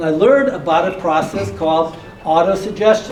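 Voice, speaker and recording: Male voice in an American accent, some audible room echo, and noticeable noise behind it. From US Midwest, Detroit. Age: 60s. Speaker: motivational speaker and real estate investor. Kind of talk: motivational talk.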